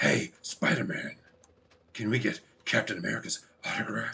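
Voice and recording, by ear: Moderately paced speech from a man using a put-on character voice. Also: fairly high pitch for a man.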